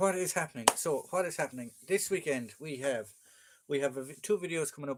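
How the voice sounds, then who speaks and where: With an Irish accent, a man speaks at a fairly high pitch with ordinary pitch variation. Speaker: military collectibles collector and live streamer. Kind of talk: casual live-stream chat. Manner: fast.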